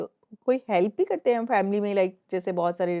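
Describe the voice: Showing vocal fry, a woman speaks at a moderate pace in a dark, mellow tone.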